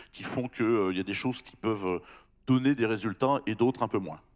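Here a man talks at a very fast pace with fairly even intonation. The background is quiet. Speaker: employment center head. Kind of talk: panel discussion. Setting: stage with audience. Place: stage. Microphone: handheld.

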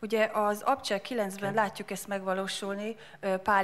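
A woman talks at a medium pitch. Her intonation is monotone and flat. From Hungary. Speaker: interpreter. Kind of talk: sermon interpreting. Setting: church. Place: church. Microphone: handheld.

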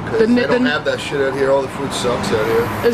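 A man talks at a moderate pace with very wide pitch swings. Loud background noise runs behind him. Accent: American. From Brooklyn, New York. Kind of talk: casual, blunt, uses profanity. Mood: playful, joking. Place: street. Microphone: phone near.

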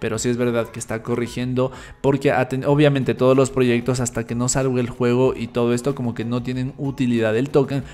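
At a fairly quick pace with few pauses, a man talks in a medium pitch with little pitch movement and a slightly mellow tone.

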